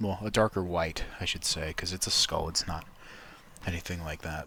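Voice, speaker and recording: Soft-spoken, this man has a very deep, low pitch, a bright, sharp tone and fairly even intonation. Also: moderate pace. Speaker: YouTuber, digital artist. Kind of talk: drawing tutorial. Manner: soft-spoken, keeping voice down.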